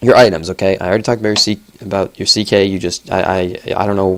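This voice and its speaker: A man speaks very fast with a fairly low pitch. His intonation is flat and monotone. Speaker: gaming video commentator. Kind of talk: replay analysis commentary. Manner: casual, filler-heavy.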